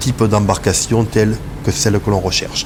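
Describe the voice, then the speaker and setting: Over noticeable background noise, a man talks at a moderate pace in a fairly low voice. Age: 60s. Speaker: sea rescue volunteer. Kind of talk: testimony.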